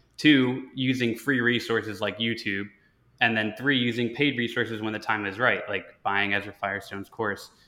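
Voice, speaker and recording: With an ordinary speaking voice, a man of medium pitch speaks at a moderate pace with fairly even intonation. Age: 20s. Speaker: podcast host. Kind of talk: interview.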